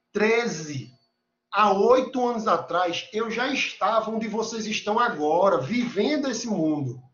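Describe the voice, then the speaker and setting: A man's animated tone in a Recife accent, high in pitch, fairly slow, with lively intonation. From Recife, northeastern Brazil. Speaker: university lecturer. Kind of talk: lecture. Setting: video call.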